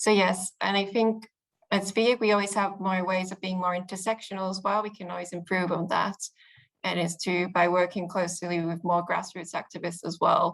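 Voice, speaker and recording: In a British accent, the speaker talks at a moderate pace with monotone, flat intonation against a quiet background. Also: woman, medium pitch for a woman. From UK. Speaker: youth politics spokesperson. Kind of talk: interview answer.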